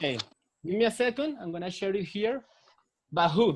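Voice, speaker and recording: A man with a Spanish accent speaks at a moderate pace, his intonation lively. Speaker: English teacher. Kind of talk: online English class. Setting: video call.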